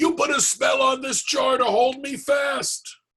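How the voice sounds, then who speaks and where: A man puts on a character voice with extremely high pitch. He projects it loudly at a fairly slow pace. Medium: read story. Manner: greedy, loud.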